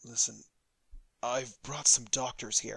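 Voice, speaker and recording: The put-on character voice is raspy and moves at a fairly slow pace. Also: man. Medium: read story. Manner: earnest, pleading.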